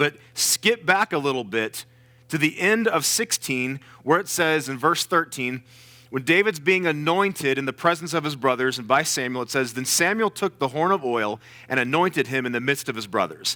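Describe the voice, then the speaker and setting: A loud man with a fairly high, bright, sharp voice and lively intonation, in a very clean, dry, close recording with a silent background and no echo. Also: moderate pace. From US South. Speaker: guest preacher. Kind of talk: sermon. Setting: church with congregation. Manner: animated.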